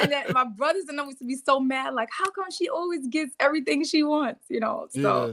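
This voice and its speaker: In a New York accent, a woman talks at a fairly quick pace with hardly any pauses, her high voice animated but with ordinary pitch variation. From New York City, the Bronx. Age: 30s. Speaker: reality TV personality. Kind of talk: interview.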